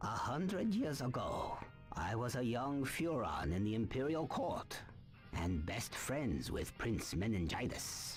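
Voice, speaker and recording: Over clear music in the background, a put-on character voice speaks at a fairly slow pace. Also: man, medium pitch for a man. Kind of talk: wise-mentor speech. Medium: video game. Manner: solemn, measured, aphoristic.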